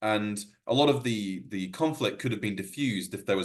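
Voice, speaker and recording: This man talks at a very fast clip, his fairly low voice moving with lively intonation. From Wales. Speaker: workshop presenter on environmental economics. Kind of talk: workshop presentation. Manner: hesitant, many fillers and restarts.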